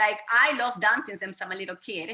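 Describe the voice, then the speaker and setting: Energetic and bright with a sharp tone, a woman speaks at a fairly high pitch with ordinary pitch variation. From Venezuela. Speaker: fitness trainer. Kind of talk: interview.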